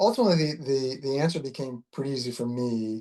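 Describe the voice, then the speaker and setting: A man's medium-pitched voice keeps a moderate pace and ordinary pitch variation. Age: 60s. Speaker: concussion patient, retired finance professional. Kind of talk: interview testimony. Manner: halting, many repetitions and fillers.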